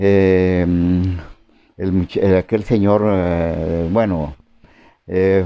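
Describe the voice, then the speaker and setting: Over music in the background, a man talks at a very slow pace in a very deep, low voice. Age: 80s+. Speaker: farmer settler. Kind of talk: oral history interview. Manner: halting, many fillers.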